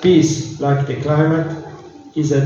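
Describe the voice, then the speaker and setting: A man's fairly slow speech comes through audible room echo and noticeable background noise. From Italy, Rome. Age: 60s. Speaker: diplomat. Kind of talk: formal speech. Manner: halting.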